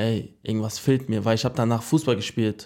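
A man at a moderate pace with fairly even intonation, on a very clean recording with a silent background. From Germany, Frankfurt. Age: 20s. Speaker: boxer. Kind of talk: interview.

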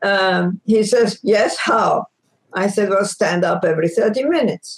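The speaker has a Greek accent and keeps a moderate pace. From Egypt, Greek ancestry. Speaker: former space agency scientist and author. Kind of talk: interview.

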